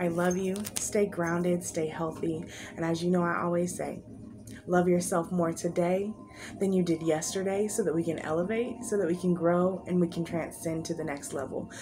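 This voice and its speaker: Music plays behind a woman who speaks at a moderate pace with fairly even intonation. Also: fairly low pitch for a woman. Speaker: tarot card reader. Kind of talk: pick-a-card spiritual reading.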